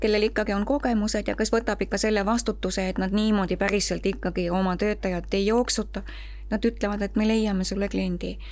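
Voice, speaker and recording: A woman's plain, everyday voice, medium in pitch, with fairly even intonation. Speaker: home caregiver. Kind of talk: casual chat.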